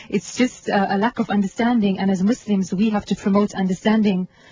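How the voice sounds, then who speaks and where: A woman of medium pitch speaks at a fairly quick pace amid noticeable background noise. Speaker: journalist. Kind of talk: radio interview. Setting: studio.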